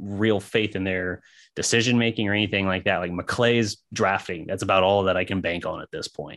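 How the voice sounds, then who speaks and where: In an ordinary speaking voice, a man talks at a moderate pace with fairly low pitch and ordinary pitch variation against a quiet background. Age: 30s. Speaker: sports podcast co-host. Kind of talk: casual chat.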